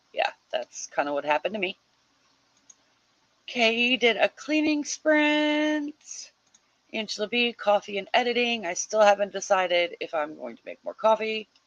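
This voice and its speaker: A woman with an American accent and a fairly high pitch speaks at a moderate pace with very wide pitch swings, big swings in loudness and long, frequent pauses, in a dry, close sound with no echo. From US Midwest. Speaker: livestream host of writing sprints. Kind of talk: casual livestream chat reading viewer comments. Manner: animated.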